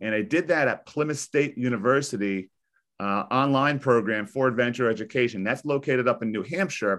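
A man with an American accent and an ordinary speaking voice, medium in pitch with ordinary pitch variation, at a fairly quick pace against a quiet background. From US Northeast (New Jersey). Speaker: high school teacher. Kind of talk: interview. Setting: video call.

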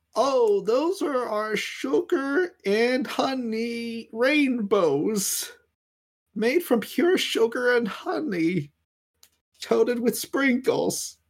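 A man puts on an extremely high-pitched character voice. He speaks at a very slow pace. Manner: chirpy customer-service salesman.

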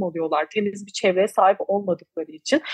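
A woman at a moderate pace. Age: 20s. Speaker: climate activist, NGO founder. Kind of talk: interview. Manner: hesitant fillers.

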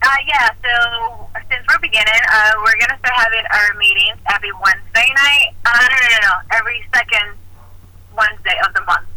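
A woman has a plain, everyday voice, fairly high in pitch, with ordinary pitch variation and a moderate pace. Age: 30s. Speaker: Marine veteran and art therapy student. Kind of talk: casual interview.

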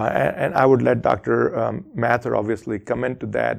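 A man's medium-pitched voice with vocal fry, ordinary pitch variation and a fairly slow pace against a quiet background. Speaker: critical care doctor, recovery clinic founder. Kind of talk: interview answers. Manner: hesitant, filler words.

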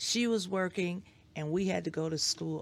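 A woman with medium pitch and an unremarkable speaking voice, at a moderate pace. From Detroit, Michigan. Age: 60s. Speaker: educator and school board member. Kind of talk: interview.

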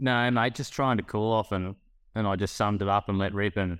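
Fairly low-pitched man in an Australian accent at a fairly quick pace. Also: very clean recording, silent background. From northern New South Wales, Australia. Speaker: former livestock marketing worker, podcast co-host. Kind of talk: casual chat.

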